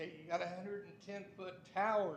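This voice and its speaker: With an American accent, a man speaks in a flat monotone at a fairly slow pace, with audible room echo and noticeable background noise. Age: 70s. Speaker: resident speaking at public comment. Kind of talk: public comment at council meeting. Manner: agitated.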